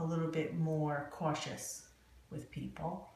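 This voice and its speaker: Speaking in a New Jersey accent, a woman has a very deep, low pitch. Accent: New Jersey American English. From New Jersey, USA. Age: 50s. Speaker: court reporter. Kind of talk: oral history interview answer.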